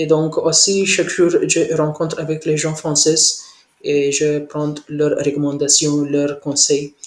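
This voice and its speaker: At a very slow pace, a man speaks in a fairly high pitch with monotone, flat intonation. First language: not French (speaking French). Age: 20s. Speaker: French language learner. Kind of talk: language lesson conversation. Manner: halting, many hesitations.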